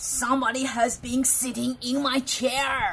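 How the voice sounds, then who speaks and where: Using a put-on character voice, a woman growls at a high pitch, with fairly even intonation and a fairly slow pace. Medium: read story. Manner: growling.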